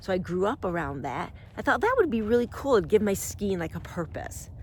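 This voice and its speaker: A woman's animated tone, edged with vocal fry. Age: 60s. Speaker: self-help video host. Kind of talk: personal storytelling monologue.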